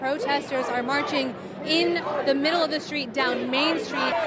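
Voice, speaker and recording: A high-pitched woman's voice with an American accent at a moderate pace, crowd noise in the background. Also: ordinary pitch variation. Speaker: TV news reporter and anchor. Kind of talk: live field reporting at a protest. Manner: urgent, breathless.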